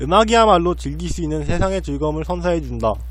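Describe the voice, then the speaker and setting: Noticeable background noise and audible room echo are present. Through them, a man speaks at a fairly quick pace. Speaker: blogger reading own diary posts. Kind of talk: reading aloud. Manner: halting, frequent stumbles and restarts.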